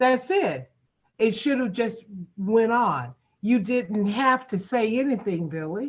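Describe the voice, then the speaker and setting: This woman's voice is somewhat breathy and fairly high in pitch. She talks at a very slow pace. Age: 60s. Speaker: community meeting host. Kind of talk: heated debate. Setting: video call. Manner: halting.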